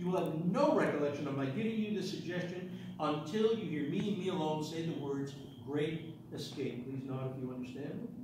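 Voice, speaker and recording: Strong room echo and noticeable background noise surround a man talking with ordinary pitch variation. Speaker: stage hypnotist. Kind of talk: stage hypnosis show, giving hypnotic suggestions and post-hypnotic commands. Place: hall. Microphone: camera far.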